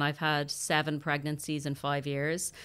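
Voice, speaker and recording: A woman with an Irish accent and a very deep, low pitch, at a fairly slow pace, on a very clean recording with a silent background. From Ireland. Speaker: actor. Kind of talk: interview, casual chat.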